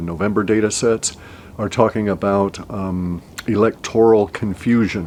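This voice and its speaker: Noticeable background noise accompanies a man speaking at a fairly slow pace. His pitch is fairly low and his intonation fairly even. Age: 60s. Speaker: forecaster. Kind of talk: solo video monologue. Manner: halting, many fillers.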